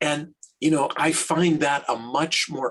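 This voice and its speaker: With vocal fry and a fairly high pitch, a man speaks at a fairly slow pace. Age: 60s. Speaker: rabbi. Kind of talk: interview. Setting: podcast.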